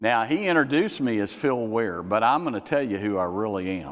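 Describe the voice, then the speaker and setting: A man's normal speaking voice, fairly low in pitch, with lively intonation at a moderate pace. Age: 60s. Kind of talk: sermon. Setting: church.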